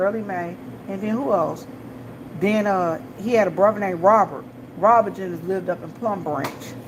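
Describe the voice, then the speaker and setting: With an American accent, a woman talks at a moderate pace and ordinary pitch variation over noticeable background noise. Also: medium pitch for a woman. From Washington DC. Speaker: gas station clerk and vlogger. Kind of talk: casual chat.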